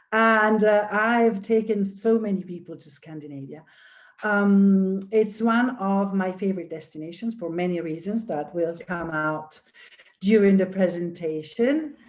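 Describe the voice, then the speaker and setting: A woman's medium-pitched voice at a fairly slow pace, with ordinary pitch variation and big swings in loudness. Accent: Italian. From Italy, near Venice. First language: Italian. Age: old. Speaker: tour director. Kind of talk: virtual tour presentation. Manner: soft-spoken.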